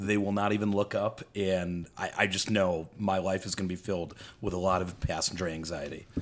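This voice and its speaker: A man's very deep, low voice with a Midwestern accent, monotone and flat, at a fairly quick pace. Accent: general American, Midwestern. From Metro Detroit, Michigan. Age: 30s. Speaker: guest, real estate worker and boater. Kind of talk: casual chat. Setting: around a table, video recorded.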